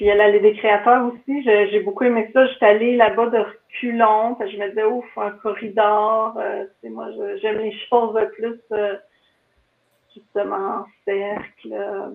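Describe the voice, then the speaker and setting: In a Quebec accent, a woman speaks at a very slow pace and a fairly high pitch. Her intonation is monotone and flat, while her loudness swings widely. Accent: Québécois French. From Quebec, Laurentides (Mont-Laurier area). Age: 40s. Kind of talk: casual interview chat.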